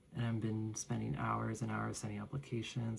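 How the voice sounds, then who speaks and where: Quietly, a man speaks at a moderate pace. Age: adult. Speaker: vlogger. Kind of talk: personal vlog monologue. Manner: quiet, low-spoken; halting, with fillers.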